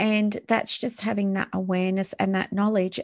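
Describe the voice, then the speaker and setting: A woman in a plain, everyday voice speaks at a moderate pace and medium pitch against a quiet background. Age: 40s. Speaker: wellness podcast host. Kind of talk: solo podcast monologue.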